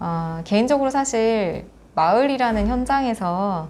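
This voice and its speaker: A woman speaks with lively intonation. Her pace is very slow. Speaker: education support center director. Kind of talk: interview. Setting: after a forum.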